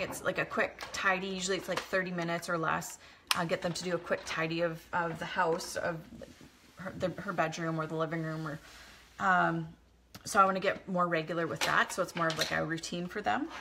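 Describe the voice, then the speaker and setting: Fairly low in pitch, a woman speaks at a fairly quick pace with fairly even intonation over noticeable background noise. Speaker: vlogger. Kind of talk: casual chat. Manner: fast; halting.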